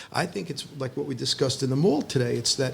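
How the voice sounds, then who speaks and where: A man talks at a fairly quick pace with a medium pitch. His voice carries vocal fry. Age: 60s. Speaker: rabbi and high school teacher. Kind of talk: casual chat. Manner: halting, many false starts.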